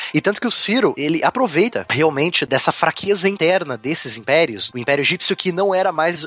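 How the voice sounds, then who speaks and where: A man's lively intonation and fairly quick delivery come through against noticeable background noise. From southern Brazil, Curitiba. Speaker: history teacher. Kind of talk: casual podcast chat explaining history.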